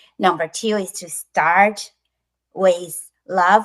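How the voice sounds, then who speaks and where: A woman with a Chinese accent at a fairly low pitch, at a very slow pace. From China. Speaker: author and bilingual education specialist. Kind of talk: interview. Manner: halting, many fillers.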